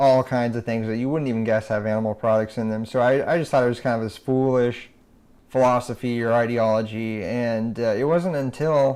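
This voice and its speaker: Over a quiet background, a man with an American accent talks at a fairly quick pace and a medium pitch, with fairly even intonation. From Nebraska, USA. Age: young. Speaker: animal rights activist. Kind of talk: interview answer. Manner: soft-spoken.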